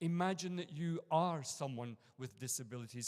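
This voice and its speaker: With an Edinburgh accent, a man talks at a moderate pace using ordinary pitch variation. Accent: Scottish (Edinburgh). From Scotland, Edinburgh. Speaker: university lecturer and conference speaker. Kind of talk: conference talk. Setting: conference room with audience.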